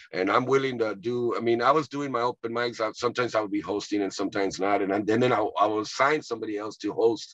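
Speaking at a medium pitch, a man goes at a very fast pace with hardly any pauses. The sound is dry, with no echo. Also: ordinary pitch variation, quiet background. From Texas, Rio Grande Valley (Edinburg); Texas. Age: 50s. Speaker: comedian and actor; comedian, actor. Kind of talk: casual interview. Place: car. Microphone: video call.

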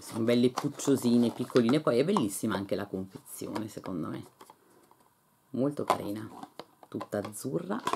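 Amid noticeable background noise, a woman with a very deep, low pitch speaks in an animated tone with lively intonation at a moderate pace, leaving long, frequent pauses. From northern Italy, Lecco area; northern Italy. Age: 50s. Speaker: beauty and lifestyle YouTuber; lifestyle YouTuber. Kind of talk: casual unboxing vlog. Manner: animated, chatty. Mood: enthusiastic, pleased. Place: home room. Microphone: phone near.

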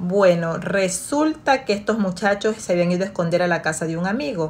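A woman talks at a fairly quick pace in a somewhat breathy voice. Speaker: storyteller. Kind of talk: story time, retelling a family drama in a confiding bedtime-story tone. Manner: narrative, steady pace with a storyteller's suspense; conversational, retelling with repetitions and filler. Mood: calm, engaged narration. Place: home room. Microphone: phone near.

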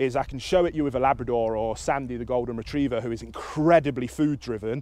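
A man at a fairly quick pace with ordinary pitch variation, in a dry sound with no echo. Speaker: dog trainer. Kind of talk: tutorial. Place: open country.

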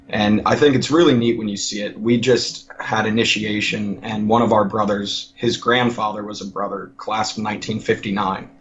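A man with a fairly low pitch keeps his intonation fairly even, while noticeable noise sits in the background. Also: moderate pace. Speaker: college student and fraternity member. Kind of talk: casual interview. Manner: halting.

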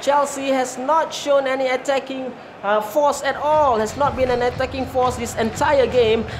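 A woman with a high pitch talks at a moderate pace against noticeable background noise. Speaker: football match commentator. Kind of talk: live sports commentary.

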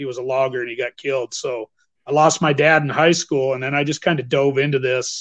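A man with an American accent uses an ordinary speaking voice, speaking at a moderate pace with fairly even intonation against a quiet background. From northern Idaho, US. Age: 50s. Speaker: bowhunter and teacher. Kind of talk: interview. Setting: video call. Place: home room. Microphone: video call.

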